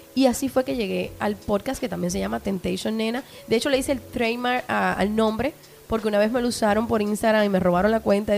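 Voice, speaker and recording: Through noticeable background noise, a woman with fairly high pitch talks at a very fast pace with ordinary pitch variation. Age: 30s. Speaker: sex podcaster. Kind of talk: casual chat. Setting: studio with small audience.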